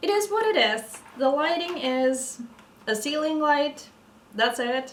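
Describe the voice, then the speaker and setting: A woman with a Norwegian accent talks at a very slow pace, her high voice carrying lively intonation. Audible room echo and noticeable background noise surround her. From Norway. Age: 30s. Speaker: vlogger. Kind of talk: casual chat. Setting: at home, evening, ceiling light. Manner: halting.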